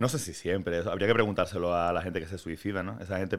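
With ordinary pitch variation, a man speaks in a fairly low register. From Andalusia, Málaga. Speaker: singer-songwriter. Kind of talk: interview. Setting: studio on an 11th floor.

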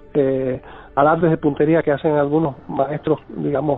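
A man's fairly high voice at a moderate pace, with noticeable background noise behind it. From Cuba. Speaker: tarot teacher and singer-songwriter. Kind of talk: interview. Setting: phone call.

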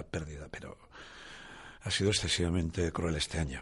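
A somewhat breathy man with a very deep, low pitch, talking at a fairly quick pace over a quiet background. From Asturias, northern Spain. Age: 60s. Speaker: rock musician. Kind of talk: testimony.

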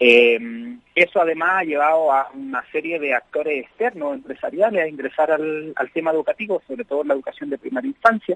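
In an unremarkable speaking voice, a man talks at a fairly quick pace with lively intonation and fairly high pitch. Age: 30s. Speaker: popular educator. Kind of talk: interview.

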